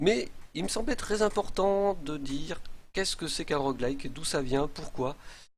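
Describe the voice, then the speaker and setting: Lively intonation runs through this man's speech. His pitch sits fairly high. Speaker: game streamer. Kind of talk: live stream commentary. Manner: hesitant.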